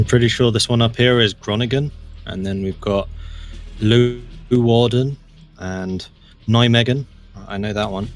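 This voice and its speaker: Over music in the background, a man with an American accent speaks at a fairly slow pace with long, frequent pauses and fairly even intonation. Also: medium pitch for a man. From Dutch. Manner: casual, conversational.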